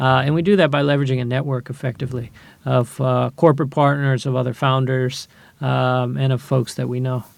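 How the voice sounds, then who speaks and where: An ordinary speaking voice with a General American accent, fairly even intonation and a fairly quick pace. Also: man, medium pitch for a man. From US Midwest, Ohio. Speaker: angel investor. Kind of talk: interview. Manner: frequent filler words.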